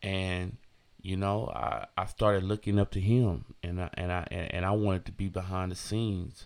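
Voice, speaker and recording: Very clean recording, silent background, as a man with an American accent speaks at a very deep, low pitch. His pace is moderate and his intonation fairly even. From San Francisco, California. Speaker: DJ and podcast host. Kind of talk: casual solo monologue. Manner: laid-back, many fillers.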